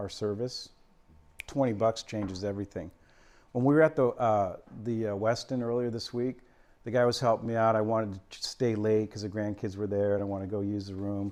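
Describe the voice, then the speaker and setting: A man with an American accent talks at a fairly quick pace in a normal speaking voice. His pitch is medium with ordinary variation, and the background is quiet. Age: 60s. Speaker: financial presenter. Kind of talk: presentation to a lunch audience. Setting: luncheon event with audience. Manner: casual, conversational.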